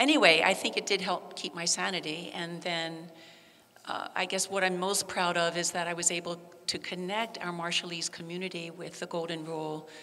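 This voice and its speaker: A woman's fairly low voice with an American accent, flat and monotone, at a moderate pace. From Baltimore, US. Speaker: volunteer crew and educator; educator. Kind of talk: personal testimony. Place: church.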